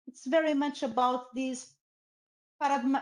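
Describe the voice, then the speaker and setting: With a Portuguese accent, a woman speaks at a moderate pace in a high pitch with ordinary pitch variation. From Portugal. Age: 50s. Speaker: professor. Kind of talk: lecture. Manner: halting.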